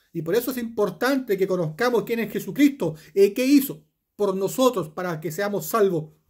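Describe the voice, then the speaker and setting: A man is speaking at a moderate pace. The background is quiet. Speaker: preacher. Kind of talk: sermon with scripture reading, rhetorical questions to the listener and closing prayer. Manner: earnest, pastoral, exhorting the listener directly. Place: home room. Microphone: phone near.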